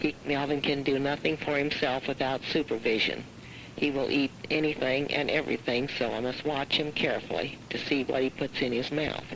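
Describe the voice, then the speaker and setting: Over noticeable background noise, a woman with an American accent speaks at a moderate pace in a very deep, low voice, monotone and flat, with very even loudness. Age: 60s. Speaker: farm wife and caregiver. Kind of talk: prepared statement read aloud. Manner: formal.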